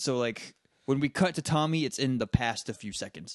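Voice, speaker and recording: A man in an unremarkable speaking voice talks at medium pitch and a moderate pace. The sound is dry and close with no echo, over a quiet background. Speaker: podcast co-host. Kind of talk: casual chat. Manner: laughs often.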